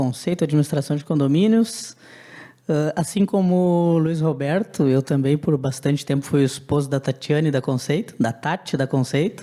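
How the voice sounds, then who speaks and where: At a moderate pace, a man with a dark, mellow tone and a fairly high pitch speaks at very even loudness with ordinary pitch variation. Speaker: business owner. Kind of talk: panel discussion.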